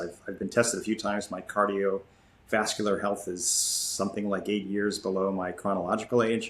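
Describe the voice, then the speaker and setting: Monotone and flat, a man speaks at a fairly low pitch and a moderate pace. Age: 60s. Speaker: ultramarathon runner. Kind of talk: interview. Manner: halting.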